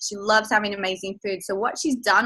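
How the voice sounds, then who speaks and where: A woman's enthusiastic, bright and sharp voice with an Australian accent. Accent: Australian, noticeable to overseas listeners. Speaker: personal trainer and health coach. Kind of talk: online sales presentation.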